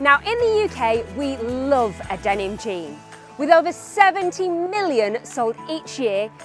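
Over background music, a woman speaks at a fairly slow pace in a high pitch, with very wide pitch swings and big swings in loudness. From Northern England. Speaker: fashion presenter. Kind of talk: TV presenter link.

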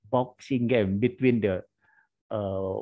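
A man with an Indonesian accent talks at a fairly slow pace. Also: quiet background. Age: 50s. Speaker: history lecturer. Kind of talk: lecture. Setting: video call. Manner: halting. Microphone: video call.

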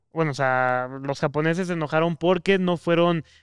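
A man with a high pitch and ordinary pitch variation talks at a moderate pace, the sound dry with no echo and the background quiet. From Mexico. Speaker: podcast co-host. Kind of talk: casual chat. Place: studio. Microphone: studio mic.

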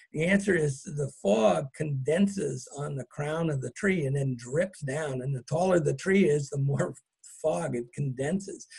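A man with an American accent speaks at a fairly slow pace in a normal speaking voice, his pitch fairly high with ordinary variation. The background is quiet. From California, Marin County; California. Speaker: botanist and author. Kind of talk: lecture. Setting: video call.

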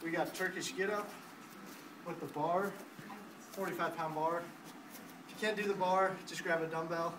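A man talks in a flat monotone at a high pitch, with noticeable noise in the background. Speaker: trainer demonstrating exercises. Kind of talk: tutorial. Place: gym. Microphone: camera far.

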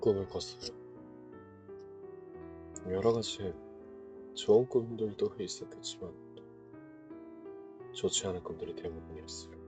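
Over music in the background, a man talks at a fairly slow pace with big swings in loudness and long, frequent pauses. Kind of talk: ASMR voice-recording monologue.

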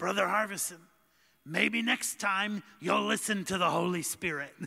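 Using a put-on character voice, a man speaks in a raspy, high pitch at a moderate pace, with very even loudness and fairly even intonation. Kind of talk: preaching, admonishing.

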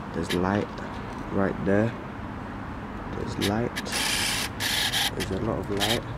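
Over loud background noise, a man talks at a moderate pace with ordinary pitch variation in a dry sound with no echo. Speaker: urban explorer vlogger. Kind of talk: casual vlog chat. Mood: nervous, a bit scared. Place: street. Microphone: phone near.

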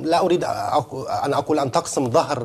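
The intonation is lively. Vocal fry runs through the voice. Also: man. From Palestine. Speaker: journalist. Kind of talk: televised panel debate. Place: studio. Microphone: lapel.

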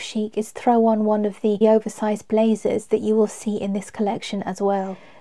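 In a London accent, a woman speaks at a moderate pace. Her pitch sits fairly high. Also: quiet background. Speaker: fashion vlogger. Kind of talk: casual chat; casual vlog chat. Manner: animated. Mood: enthusiastic, admiring. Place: home room.

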